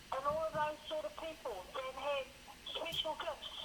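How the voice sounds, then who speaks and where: Noticeable background noise runs behind this woman's raised, projected voice. She speaks at a high pitch. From Wairoa, New Zealand. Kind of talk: phone call conversation.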